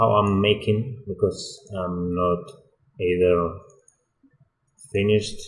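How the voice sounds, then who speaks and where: A man with a Spanish accent speaks in a very deep, low, somewhat breathy voice, keeping his intonation fairly even. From Spain. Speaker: 3D environment artist. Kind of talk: tutorial. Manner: halting, many fillers.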